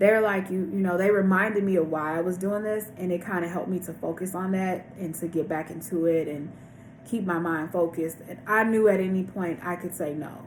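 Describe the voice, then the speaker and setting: A woman's normal speaking voice at a medium pitch and fairly quick pace, with fairly even intonation. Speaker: vlogger sharing weight loss surgery journey. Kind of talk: casual vlog monologue.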